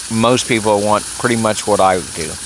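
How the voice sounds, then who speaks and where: A man with an American accent talks at a fairly low pitch. He goes at a fairly slow pace over noticeable background noise. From Texas. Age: 70s. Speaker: political commentator vlogger. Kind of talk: personal monologue. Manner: hesitant, many fillers.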